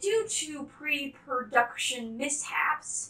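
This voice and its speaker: Audible room echo surrounds a woman's high voice. She speaks at a very slow pace. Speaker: volunteer host of a puppet production. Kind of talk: casual video announcement.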